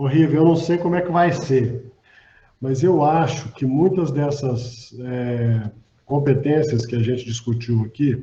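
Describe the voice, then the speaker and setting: Speaking at a fairly slow pace, a man with a medium pitch and a dark, mellow tone sounds somewhat breathy, with ordinary pitch variation. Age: 60s. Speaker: physician and hospital executive. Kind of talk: panel discussion.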